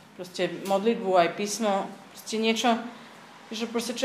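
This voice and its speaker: A woman with a medium-pitched voice talks at a moderate pace, with audible room echo and noticeable background noise. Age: 30s. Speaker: church community member. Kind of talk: testimony. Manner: halting.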